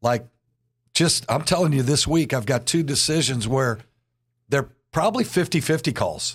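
On a very clean recording with a silent background, a man with a fairly high, somewhat breathy voice speaks with ordinary pitch variation and very even loudness, taking long, frequent pauses. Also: moderate pace. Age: 60s. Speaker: church pastor and podcast host. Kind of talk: casual interview.

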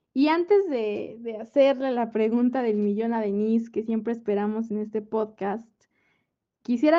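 At a fairly slow pace, a woman with an unremarkable speaking voice talks in a fairly high pitch with ordinary variation. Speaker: podcast host. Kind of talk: casual book discussion.

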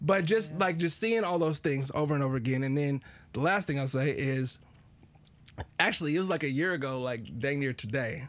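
A man's normal speaking voice, fairly high-pitched for a man, with ordinary pitch variation and a fairly quick pace. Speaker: podcast co-host. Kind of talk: casual chat. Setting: studio.

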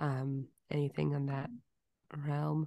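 A woman speaks over a quiet background. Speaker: podcast co-host. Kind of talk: casual chat.

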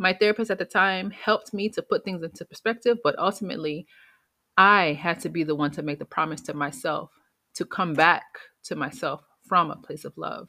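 A woman's normal speaking voice at medium pitch, fairly quick, with ordinary pitch variation and big swings in loudness. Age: 30s. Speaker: podcast host and public health communicator. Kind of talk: solo podcast monologue.

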